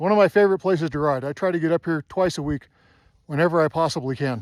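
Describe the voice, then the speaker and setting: The speaker is a man with a fairly high pitch and ordinary pitch variation. He talks at a fairly quick pace. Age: 60s. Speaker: snowmobile vlogger. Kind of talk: casual rant to camera. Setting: outdoors on a mountain. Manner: animated.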